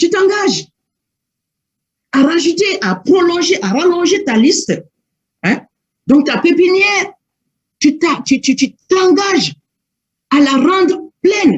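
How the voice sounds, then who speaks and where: The speech comes very slowly, broken by long, frequent pauses. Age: 60s. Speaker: network marketing manager and trainer. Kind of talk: training talk. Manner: halting.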